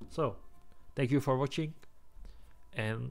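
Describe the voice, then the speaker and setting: A man speaks at a fairly slow pace with a Czech accent. His pitch varies in an ordinary way. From Czech Republic. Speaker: gaming youtuber. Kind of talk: game tier list commentary. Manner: halting.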